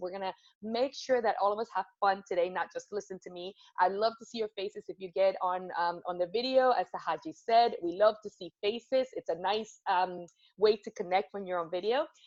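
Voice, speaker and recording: A woman with a Spanish accent talks at a fairly quick pace and medium pitch, in an animated tone with big swings in loudness. The sound is dry and close with no echo. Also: ordinary pitch variation. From Venezuela, Caracas. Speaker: corporate storytelling speaker. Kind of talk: motivational talk. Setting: video call.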